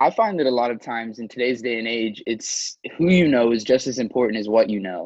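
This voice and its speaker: Against a quiet background, a man with a plain, everyday voice talks at a fairly quick pace, his medium pitch showing ordinary variation. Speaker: student podcast host. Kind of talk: interview.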